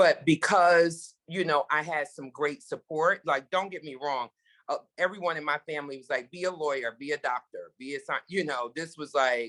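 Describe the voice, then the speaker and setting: In a dry, close sound with no echo, a woman with an American accent speaks at a very deep, low pitch, her loudness swinging widely. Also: ordinary pitch variation, moderate pace. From Brooklyn, New York. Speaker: TV executive producer. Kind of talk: Q&A talk.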